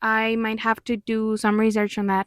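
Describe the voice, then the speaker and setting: A woman with a Mexican accent speaks at a fairly high pitch and a moderate pace in a monotone, flat intonation, on a very clean recording with a silent background. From Mexico. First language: Spanish. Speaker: musician and commentary youtuber. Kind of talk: video commentary. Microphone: new microphone.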